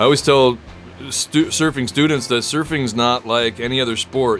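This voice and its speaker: A man at medium pitch, fairly quick pace and fairly even intonation, with music in the background. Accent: American. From Michigan and Ohio, US. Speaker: surf instructor and teacher. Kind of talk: interview. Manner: halting, repeats words.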